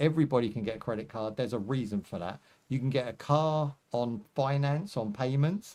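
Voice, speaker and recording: A man's dark, mellow voice at medium pitch, with lively intonation and a fairly quick pace, on a very clean recording with a silent background. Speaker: gaming livestreamer. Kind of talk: casual livestream chat. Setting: live stream. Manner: relaxed, conversational.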